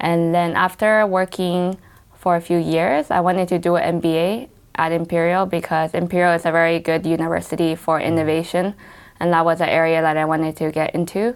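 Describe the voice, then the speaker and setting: This woman talks at a fairly quick pace with an American accent and a fairly low pitch. Her intonation is monotone and flat. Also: very even loudness. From US West Coast, Los Angeles. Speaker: tea company founder. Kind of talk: interview.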